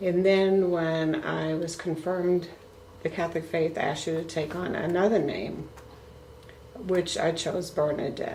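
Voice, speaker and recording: Amid audible room echo and noticeable background noise, a woman talks at a fairly low pitch with monotone, flat intonation. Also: fairly slow pace. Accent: American. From US Northeast, Brooklyn, New York. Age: 70s. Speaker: grandmother being interviewed. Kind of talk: family interview.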